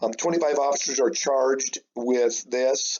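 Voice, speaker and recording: A man with an American accent speaks at a moderate pace in a medium pitch, with ordinary pitch variation and an unremarkable speaking voice. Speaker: high school history teacher. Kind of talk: recorded remote lesson. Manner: casual, many fillers.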